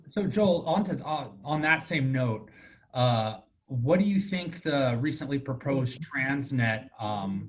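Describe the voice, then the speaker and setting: Somewhat breathy, a man with an American accent speaks very slowly at a fairly high pitch, with lively intonation. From Ramona, San Diego County, California. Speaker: realtor association moderator. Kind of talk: town hall interview.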